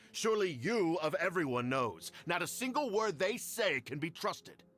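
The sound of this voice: Using a put-on character voice, a man speaks at a high pitch and a moderate pace with big pitch swings. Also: fairly bright tone.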